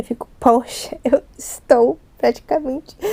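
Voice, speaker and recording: A soft-spoken woman talks in a high pitch with ordinary pitch variation. Noticeable background noise is heard behind her. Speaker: ASMR youtuber. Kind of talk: casual chat. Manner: not whispering today, slightly louder.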